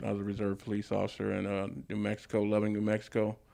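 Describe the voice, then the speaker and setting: Talking at a fairly quick pace, a man with an American accent has a fairly low pitch. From Los Angeles area, California. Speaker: barber and barbershop owner. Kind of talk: interview. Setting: barbershop. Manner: casual, many fillers.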